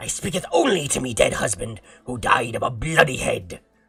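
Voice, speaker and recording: Over faint background music, a man puts on a shrill character voice pitched fairly high, speaking at a moderate pace. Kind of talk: archaic, faux-old English. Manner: shrieking, crazed.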